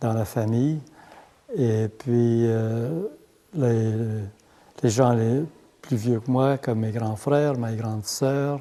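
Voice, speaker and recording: A man speaks at a very slow pace with fairly even intonation. Long pauses come often. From rural Saskatchewan, Métis francophone village near Manitoba border. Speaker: artist. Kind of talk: oral history interview. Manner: halting, with many hesitations.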